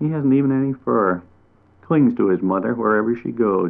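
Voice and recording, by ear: Someone reads aloud in a natural voice. The intonation is lively.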